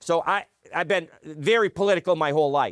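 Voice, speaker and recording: A high-pitched man with an American accent at a moderate pace, in a very clean recording with a silent background and a dry, close sound with no echo. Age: 60s. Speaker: political talk show host. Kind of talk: political interview. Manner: halting, stammering.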